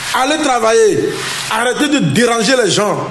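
A man speaks at an extremely high pitch. Background noise is clearly audible. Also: lively intonation, moderate pace.

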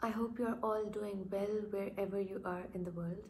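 Light background noise sits behind the recording. A woman speaks with monotone, flat intonation. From Pakistan. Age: 20s. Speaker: doctor, book vlogger. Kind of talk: casual talk to camera. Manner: quiet, almost whispering. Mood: warm, enthusiastic. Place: home room. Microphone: phone near.

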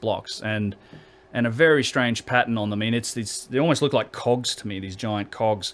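The speaker is a man. He talks at medium pitch and a moderate pace. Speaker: researcher who visits ancient sites. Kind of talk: casual interview conversation. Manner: halting, repeats words.

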